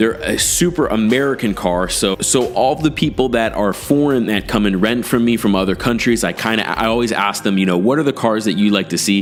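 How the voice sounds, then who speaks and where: With music in the background, a man speaks at a fairly quick pace, with very even loudness, hardly any pauses, and ordinary pitch variation. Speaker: car rental host and business YouTuber. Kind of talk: casual tutorial.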